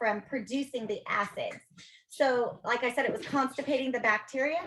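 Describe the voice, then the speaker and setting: The woman raises and projects her voice. Her pitch is high, with ordinary variation. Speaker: dental health presenter. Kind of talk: presentation with Q&A. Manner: fast.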